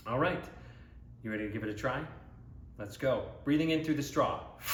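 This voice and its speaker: There is noticeable background noise as a man talks in a fairly high pitch. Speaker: Broadway voice coach, actor and singer. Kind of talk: guided vocal warm-up instruction to camera. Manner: encouraging, conversational, instructive.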